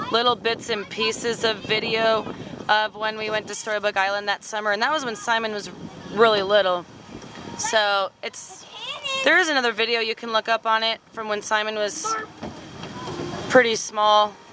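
Speech comes at a moderate pace, broken by long, frequent pauses. The sound is dry with no echo, and background noise is noticeable. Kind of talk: casual vlog chat. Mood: relaxed, amused. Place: garden. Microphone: phone near.

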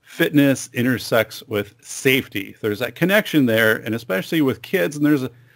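A man speaks at a moderate speed, and the background is quiet. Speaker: podcast host. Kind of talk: podcast intro monologue. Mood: upbeat, friendly. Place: studio. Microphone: studio mic.

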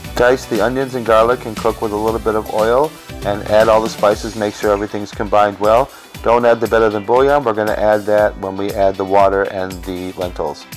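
Music behind a man talking fairly quickly, his pitch varying in an ordinary way. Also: fairly low pitch for a man. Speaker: home cook. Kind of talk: cooking tutorial narration. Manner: fast.

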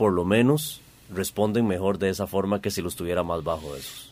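The delivery runs fairly quick, with pitch rising and falling in a normal way. It is an ordinary speaking voice. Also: man. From Costa Rica. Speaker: radio host. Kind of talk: radio talk show. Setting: radio studio. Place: studio.

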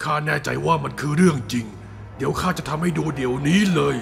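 Over clear background noise, a man puts on a character voice at a fairly high pitch.

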